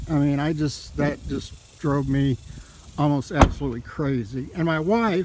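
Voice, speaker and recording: Over noticeable background noise, a man speaks at a fairly slow pace and a fairly high pitch with ordinary pitch variation. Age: 60s. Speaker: vehicle owner reviewing his truck. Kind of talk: casual video review. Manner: hesitant, many fillers.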